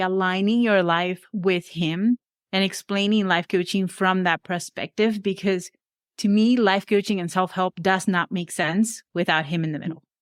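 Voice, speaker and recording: In a very clean recording with a silent background and a dry, close sound with no echo, a woman with a Venezuelan accent talks at a medium pitch and a moderate pace. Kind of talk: podcast interview.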